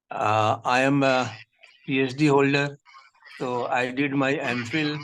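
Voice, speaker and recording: Fairly even intonation in a Pakistani accent. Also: man. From India. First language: Urdu. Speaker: poet and textbook editor. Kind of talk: interview self-introduction. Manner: halting, many fillers.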